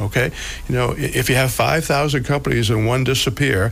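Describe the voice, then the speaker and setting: With noticeable noise behind him, a man of medium pitch speaks at a moderate pace with lively intonation. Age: 70s. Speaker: financial advisor and radio host. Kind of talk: financial talk radio. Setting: radio studio.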